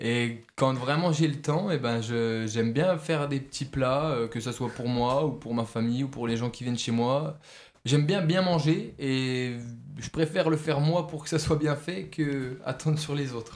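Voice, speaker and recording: A man delivers his words at a fairly slow pace, his fairly high pitch moving with ordinary pitch variation. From France, Franche-Comté (near Besançon). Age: 20s. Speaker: football goalkeeper and student. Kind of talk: radio interview. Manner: hesitant, many fillers.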